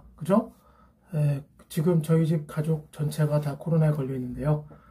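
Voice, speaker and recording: A man's somewhat breathy, dark, mellow voice at a fairly high pitch, moving at a moderate pace with fairly even intonation. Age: 50s. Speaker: academy teacher. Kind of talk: casual talk to camera.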